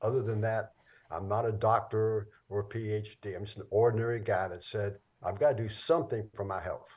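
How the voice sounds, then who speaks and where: Over a quiet background, a man speaks in a fairly low pitch. His voice is somewhat breathy. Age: 80s+. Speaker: film producer and author. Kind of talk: interview.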